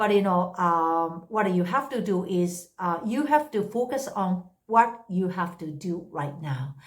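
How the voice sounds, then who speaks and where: A woman's medium-pitched voice with a Japanese accent, ordinary pitch variation and a very slow pace. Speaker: English tutor. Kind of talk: unscripted casual talk to camera. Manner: hesitant, many fillers.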